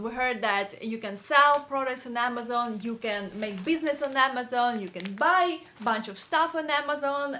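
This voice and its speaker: Against noticeable background noise, a woman with a high pitch speaks at a moderate pace with lively intonation. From Ukraine, Kyiv. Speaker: hairstylist and beauty YouTuber. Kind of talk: tutorial. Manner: halting, with many fillers.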